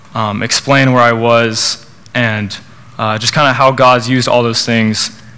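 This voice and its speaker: The voice has an American accent and a bright, sharp tone, delivered at a fairly slow pace. Its intonation is monotone and flat, with audible room echo. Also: man, medium pitch for a man. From Oklahoma, Norman. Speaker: student speaker at church college group. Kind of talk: testimony and sermon. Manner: hesitant, many fillers.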